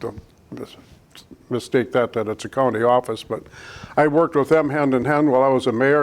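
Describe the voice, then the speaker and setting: Using a Wisconsin accent, a man speaks fairly quickly at a medium pitch with fairly even intonation. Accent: Upper Midwest (Wisconsin) American. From Wisconsin, US Upper Midwest. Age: 70s. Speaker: local election candidate, retired electrician and former mayor. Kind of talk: candidate interview.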